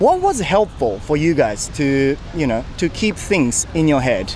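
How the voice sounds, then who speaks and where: A man talks at a moderate pace with a slight Japanese accent. His intonation is lively, and background noise is noticeable. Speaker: YouTuber interviewing people on the street. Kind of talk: street interview. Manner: casual, chatty.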